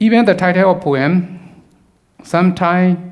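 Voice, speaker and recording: Very slow speech from a man with a Burmese accent, with audible room echo. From Burma. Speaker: poet and filmmaker. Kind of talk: conference talk. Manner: halting, many fillers.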